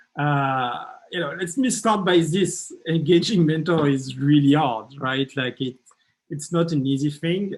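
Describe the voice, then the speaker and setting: A man talks with a French accent. His pace is fairly slow. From France. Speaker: startup mentor and workshop leader. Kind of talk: workshop presentation. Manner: halting, many fillers and repetitions.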